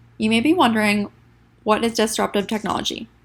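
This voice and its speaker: A woman talking at a very fast pace, fairly high-pitched and somewhat breathy, on a very clean recording with a silent background. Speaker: student. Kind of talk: class presentation.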